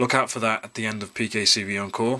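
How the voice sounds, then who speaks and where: This man talks at a very fast pace in a bright, sharp tone. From New Zealand. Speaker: YouTube Pokemon card collector and channel host. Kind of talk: casual video, unboxing card packs to camera. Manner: rambling, filler words, chatty. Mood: upbeat, excited. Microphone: phone near.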